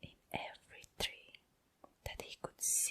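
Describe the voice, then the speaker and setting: Whispering at a fairly slow pace. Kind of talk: read story. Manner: whispered, soft-spoken.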